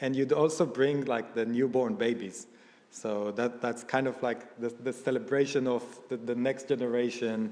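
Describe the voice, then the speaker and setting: In an Israeli accent, a man speaks at a moderate pace with a medium pitch and flat, monotone intonation. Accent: Israeli accent, noticeable. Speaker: event speaker. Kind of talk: personal testimony talk. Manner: halting, many fillers.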